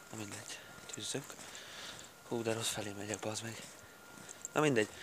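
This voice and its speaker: A man talks at a fairly low pitch with fairly even intonation. Noticeable background noise sits behind him. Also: moderate pace. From southern Slovakia, Hungarian minority (Palóc area). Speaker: vlogger. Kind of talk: casual vlog monologue. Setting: outdoors, walking along a dam. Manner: casual, hesitant with fillers.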